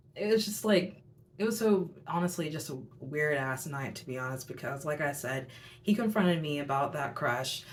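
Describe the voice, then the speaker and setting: The speech moves at a fairly quick pace with lively intonation. Audible room echo surrounds it. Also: woman. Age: 20s. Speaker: youtuber, tarot reader. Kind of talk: storytelling monologue. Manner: casual, filler-heavy.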